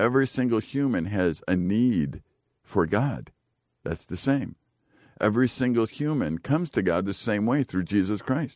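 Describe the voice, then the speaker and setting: With an unremarkable speaking voice, a man speaks at a moderate pace and a fairly low pitch, his intonation lively. The sound is dry and close with no echo, a very clean recording with a silent background. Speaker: radio host. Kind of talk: casual radio chat. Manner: joking, teasing.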